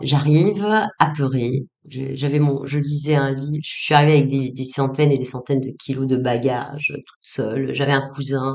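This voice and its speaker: In a very deep, low voice, a woman speaks at a moderate pace with monotone, flat intonation. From Tunisia, Tunis. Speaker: psychologist and author. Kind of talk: interview testimony. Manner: hesitant, many fillers and repetitions.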